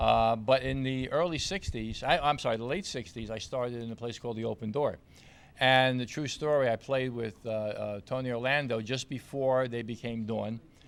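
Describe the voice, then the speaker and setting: A man with an unremarkable speaking voice keeps to a moderate pace. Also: medium pitch for a man, ordinary pitch variation. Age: 60s. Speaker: jazz pianist. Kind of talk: casual interview.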